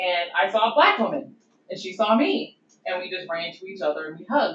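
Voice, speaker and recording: Lively intonation marks this woman's speech, which moves along fairly quickly. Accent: Southern US. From US Deep South. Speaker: doctoral researcher, historian. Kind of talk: conference presentation. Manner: casual, conversational.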